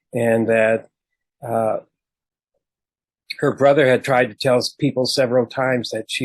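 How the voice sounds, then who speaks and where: A man in an American accent speaks at medium pitch with monotone, flat intonation. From Minnesota. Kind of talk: talk to a group. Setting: video call. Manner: casual, with filler words.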